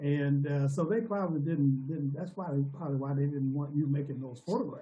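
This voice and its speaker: A man speaks at a fairly quick pace in a fairly high, somewhat breathy voice with ordinary pitch variation. Audible room echo surrounds him. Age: 70s. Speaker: former civil rights activist. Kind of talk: casual chat.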